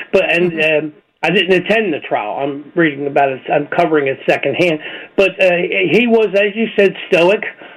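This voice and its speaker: Noticeable background noise sits behind a man with a high pitch. He moves at a moderate pace with ordinary pitch variation. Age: 70s. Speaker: opinion writer and commentator. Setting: radio show interview.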